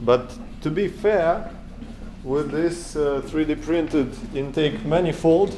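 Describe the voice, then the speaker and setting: A man with a Russian accent speaks at a fairly high pitch and very slow pace. Long, frequent pauses break up his speech. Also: ordinary pitch variation. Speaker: DIY engine hobbyist. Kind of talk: tutorial. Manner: halting, many fillers.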